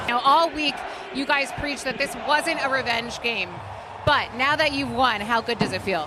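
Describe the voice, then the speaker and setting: A woman's high, raised and projected voice at a moderate pace, with ordinary pitch variation and noticeable background noise. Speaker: sports reporter. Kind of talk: postgame interview questions.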